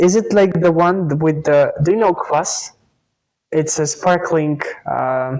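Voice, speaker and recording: A very slow delivery in a Russian accent. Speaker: YouTube interviewer. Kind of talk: interview.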